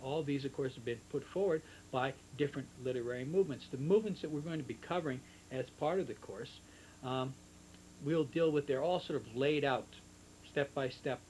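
Over light background noise, a man talks at a fairly quick pace, somewhat breathy, with ordinary pitch variation. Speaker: literature teacher. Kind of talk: lecture. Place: home room. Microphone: old recording.

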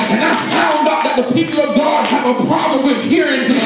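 A man speaks at a moderate pace. Music plays in the background, and the room echo is audible. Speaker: preacher. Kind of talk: sermon. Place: church. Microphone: camera far.

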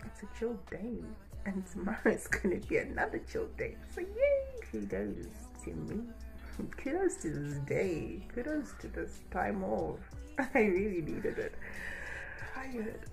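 A woman speaks at a fairly slow pace while music plays clearly in the background. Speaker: vlogger. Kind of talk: casual vlog chat. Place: home room. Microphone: phone near.

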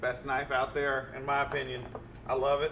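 A man's voice over noticeable background noise. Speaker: cook hosting a live stream. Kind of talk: cooking show commentary. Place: kitchen.

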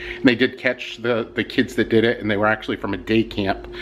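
The man talks at a fairly quick pace, with light background noise in the clip. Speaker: vlogger. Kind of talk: casual vlog chat. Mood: annoyed, complaining. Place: home room. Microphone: phone near.

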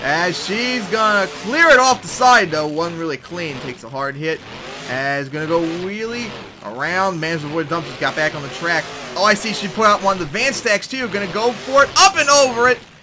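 Over music in the background, a man speaks at a high pitch in an animated, excited tone with very wide pitch swings. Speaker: game commentator. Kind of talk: live play-by-play commentary over game footage. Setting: voiceover recorded over gameplay video. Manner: animated, fast play-by-play with excited exclamations.

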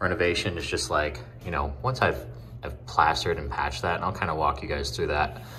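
Over light background noise, a man with a very deep, low pitch speaks at a moderate pace with lively intonation. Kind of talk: casual vlog tutorial. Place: home room. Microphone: phone near.

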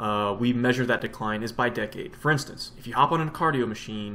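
Spoken at a very fast clip, the voice shows ordinary variation in pitch. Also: man. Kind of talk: educational vlog explanation. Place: home room. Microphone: webcam.

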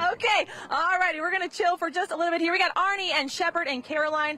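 A woman talks at a fairly quick pace in a raised, projected voice, with a dry sound with no echo and light background noise. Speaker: TV news reporter. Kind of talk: live field report. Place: boat. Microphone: handheld.

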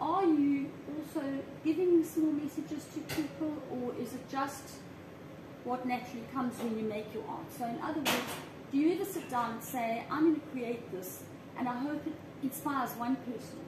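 With noticeable background noise, a woman speaks at a moderate pace and ordinary pitch variation. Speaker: interviewer and vlogger. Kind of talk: casual interview chat. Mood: warm, friendly. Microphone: camera far.

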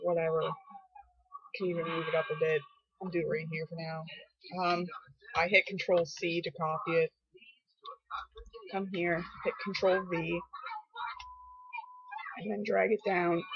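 Delivery comes at a moderate pace, broken by long, frequent pauses. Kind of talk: casual screen-recording tutorial.

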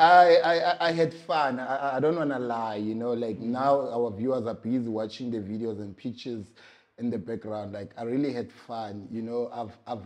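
The pace of this man's speech is moderate. Ordinary pitch variation marks his delivery. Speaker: interview guest. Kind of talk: interview answer. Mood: relaxed, cheerful recollection. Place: office. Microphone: lapel.

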